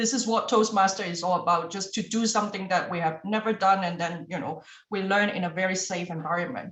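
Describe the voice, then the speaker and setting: A woman's medium-pitched, somewhat breathy voice with a non-native accent and ordinary pitch variation. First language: not English. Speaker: club meeting general evaluator. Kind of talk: meeting evaluation speech.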